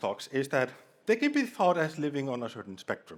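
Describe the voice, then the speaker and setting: With a strong Icelandic accent, a man speaks at a fairly high pitch with vocal fry and very wide pitch swings. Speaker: conference speaker. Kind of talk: humorous conference talk. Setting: stage with audience.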